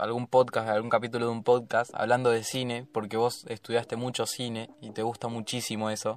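With a Rioplatense accent, a man talks at medium pitch and a fairly quick pace. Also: very clean recording, silent background. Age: young. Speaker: podcast host. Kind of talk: casual chat.

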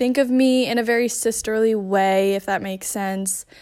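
A woman talks in a plain, everyday voice at a fairly slow pace. The recording is very clean, with a silent background. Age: 20s. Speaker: listener sending voice message. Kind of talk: recorded voice message.

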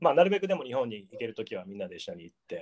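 His pitch swinging very widely, a man speaks at a very fast pace. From Japan, Gifu Prefecture. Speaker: artist. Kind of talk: casual interview.

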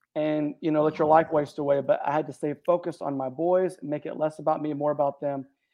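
An unremarkable speaking voice from a man, fairly high in pitch, fairly quick, with fairly even intonation. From Texas, Houston area. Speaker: author and men's mentor. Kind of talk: interview.

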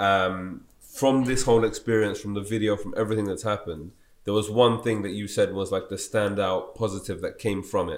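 On a very clean recording with a silent background, a man speaks at a fairly quick pace in an unremarkable speaking voice with fairly even intonation. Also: fairly low pitch for a man. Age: 20s. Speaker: podcast host. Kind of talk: interview conversation.

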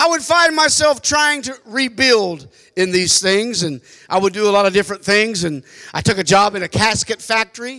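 A man speaks in a raised, projected voice, high in pitch, with lively intonation and a bright, sharp tone. The recording is very clean, with a silent background. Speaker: preacher. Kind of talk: sermon. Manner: animated.

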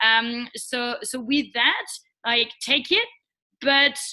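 A woman speaks very slowly in a French accent, her voice high-pitched with a bright, sharp tone and ordinary pitch variation. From France. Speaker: social entrepreneur. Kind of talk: interview. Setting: call. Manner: hesitant.

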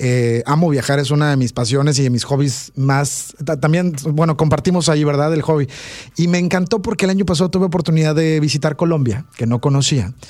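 His pitch fairly high, a man talks at a fairly quick pace with ordinary pitch variation and very even loudness. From Veracruz, Mexico. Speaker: radio host. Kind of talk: radio interview, conversational. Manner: animated, warm.

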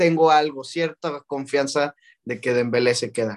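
A man with a central Mexican accent, fairly high-pitched for a man, at a fairly slow pace, in a dry, close sound with no echo. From Mexico, León, Guanajuato. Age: 20s. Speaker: student and football content creator. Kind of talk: casual chat.

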